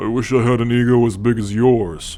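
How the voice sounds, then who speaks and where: A man performs a put-on character voice at medium pitch. Light background noise is present. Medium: audio drama. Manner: teasing, sarcastic.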